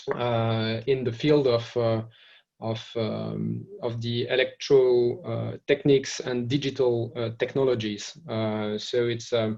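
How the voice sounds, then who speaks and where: A man speaks at a medium pitch with a French accent. His pace is very slow and his intonation is flat and monotone. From France. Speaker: trade association executive. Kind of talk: webinar presentation. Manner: halting, many fillers and repetitions.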